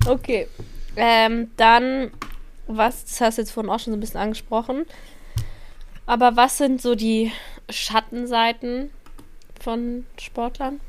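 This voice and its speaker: With a high pitch and a monotone, flat intonation, a woman speaks very slowly with long, frequent pauses in a very clean recording with a silent background. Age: 20s. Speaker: podcast co-host, social media worker. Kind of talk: casual chat.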